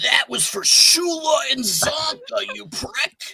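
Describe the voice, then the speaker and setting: Putting on a character voice, a man speaks at a very slow pace with extremely high pitch. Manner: aggressive, spitting insult.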